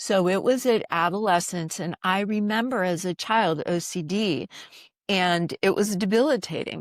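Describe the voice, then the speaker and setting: A woman speaks in an unremarkable speaking voice at a moderate pace with ordinary pitch variation. The sound is dry and close with no echo, and the recording is very clean with a silent background. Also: medium pitch for a woman. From US, military family moving around. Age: 60s. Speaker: doctor. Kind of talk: podcast interview.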